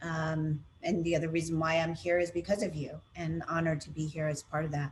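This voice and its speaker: A woman's fairly low voice with an American accent, over noticeable background noise. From United States. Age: 50s. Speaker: consultant on racial equity. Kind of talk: webinar conversation.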